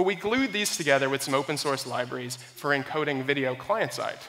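With a bright, sharp tone and lively intonation, a man speaks at a fairly quick pace.

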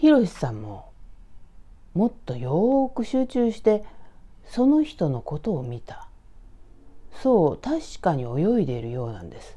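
Calm in tone, a woman speaks at a fairly slow pace with long, frequent pauses and big swings in loudness. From Tokyo, Hachioji; Tokyo. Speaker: horror storyteller. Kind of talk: storytelling. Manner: calm, conversational. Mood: calm, hushed, eerie telling.

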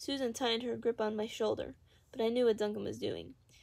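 Ordinary pitch variation in plain reading aloud.

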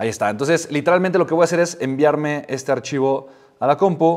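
A man with a fairly high pitch talks over a quiet background. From Mexico. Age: 30s. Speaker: entrepreneur and YouTuber; YouTuber. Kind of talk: tutorial. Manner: animated. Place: home room.

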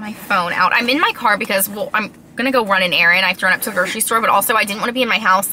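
Over light background noise, a woman speaks at a very fast pace. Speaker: vlogger. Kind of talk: casual vlog chat. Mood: unsure, confiding. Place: car. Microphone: phone near.

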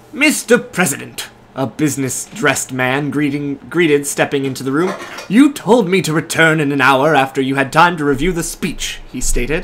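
Here a man uses a plain, everyday voice at a fairly high pitch. He keeps a moderate pace and ordinary pitch variation. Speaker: YouTube fanfiction reader co-host. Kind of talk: casual chat with dramatic reading of fanfiction. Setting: living room of an apartment, soup cooking in background. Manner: joking, laughs often.

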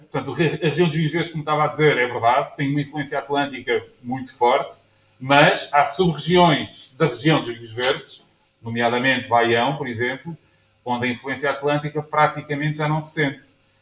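A man's fairly high voice, fairly even in intonation, at a moderate pace amid audible room echo. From Portugal. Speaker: winemaker. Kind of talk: lecture. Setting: stage with audience. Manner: halting. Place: bar. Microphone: camera far.

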